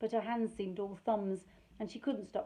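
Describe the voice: The text is read aloud plainly. Intonation holds fairly even.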